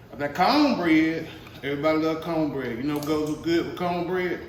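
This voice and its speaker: A man talks at a moderate pace and a fairly high pitch. Noticeable background noise and audible room echo come through. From US South. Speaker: home cooking youtuber. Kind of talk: cooking tutorial. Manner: casual, folksy.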